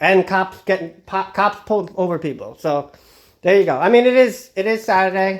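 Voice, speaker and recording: A man with a Long Island accent talks at a fairly quick pace in a high pitch, with ordinary pitch variation. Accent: Long Island New York. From Long Island, New York. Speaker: true crime vlogger. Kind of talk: casual vlog monologue. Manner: halting, many fillers and restarts.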